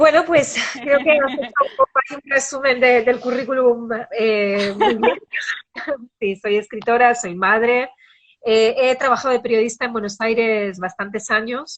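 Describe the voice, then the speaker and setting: The voice belongs to a woman and sits high in pitch. She varies it in an ordinary way. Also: fairly slow pace. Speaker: writer. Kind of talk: interview.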